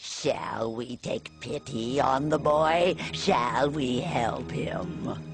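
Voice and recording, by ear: With clear music in the background, a man puts on a cartoonish character voice at a medium pitch, speaking at a very slow pace.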